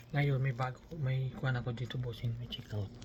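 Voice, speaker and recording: A man's somewhat breathy, medium-pitched voice at a moderate pace, flat and monotone, with audible room echo. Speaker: vlogger. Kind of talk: casual vlog. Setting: small room at a work camp. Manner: halting.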